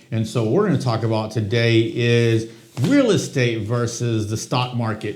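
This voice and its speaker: Medium-pitched, somewhat breathy male speech with fairly even intonation and audible room echo. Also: moderate pace. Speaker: real estate agent, podcast co-host. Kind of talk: casual conversational podcast.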